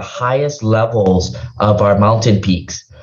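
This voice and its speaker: Moderate pace, ordinary pitch variation and a somewhat breathy quality in a man's medium-pitched voice. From Hawaii. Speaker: state legislator, former diplomat. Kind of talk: interview.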